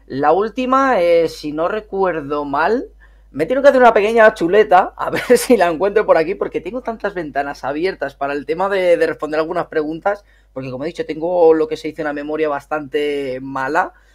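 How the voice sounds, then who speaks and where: Lively in intonation and fairly quick, a man talks at a high pitch. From northern Spain, Miranda de Ebro (Burgos). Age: 30s. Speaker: gaming youtuber. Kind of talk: casual interview chat.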